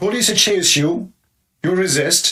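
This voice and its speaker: Speaking very slowly with lively intonation, a man with an Arabic accent has a high pitch and a bright, sharp tone. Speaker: commentator, video host. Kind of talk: opinion monologue. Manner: animated.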